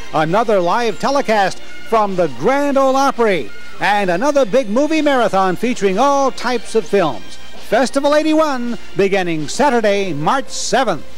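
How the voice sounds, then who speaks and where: With faint music in the background, a man speaks in a high pitch with lively intonation and an upbeat tone. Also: moderate pace, very even loudness. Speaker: TV station pitchman. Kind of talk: TV promo read. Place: studio. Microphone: handheld.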